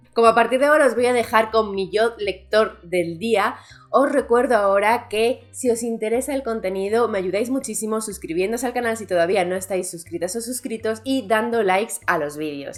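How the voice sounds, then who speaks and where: With hardly any pauses, a woman speaks at a moderate pace and fairly high pitch with ordinary pitch variation over noticeable background noise. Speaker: booktuber. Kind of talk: vlog. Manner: soft-spoken.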